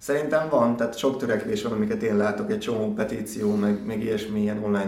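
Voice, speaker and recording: A man speaks at a very fast pace. His medium-pitched voice keeps a fairly even intonation. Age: 40s. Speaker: athlete. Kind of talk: interview.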